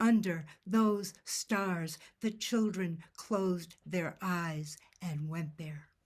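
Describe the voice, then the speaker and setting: Somewhat breathy and fairly low in pitch, a woman speaks at a very slow pace with ordinary pitch variation. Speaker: poet. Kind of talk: poetry reading. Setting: video call.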